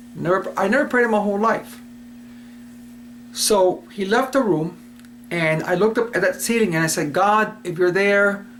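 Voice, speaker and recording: Amid noticeable background noise and audible room echo, a man with an American accent and a high pitch talks at a moderate pace with long, frequent pauses. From Cuba and US Virgin Islands. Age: 60s. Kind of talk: personal testimony. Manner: casual, hesitant with fillers.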